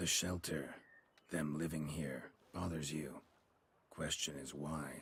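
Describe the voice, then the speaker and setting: Delivered at a fairly slow pace with long, frequent pauses, the put-on character voice keeps a monotone, flat intonation. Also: man, very deep, low pitch for a man. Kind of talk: video game dialogue. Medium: video game. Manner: terse, clipped.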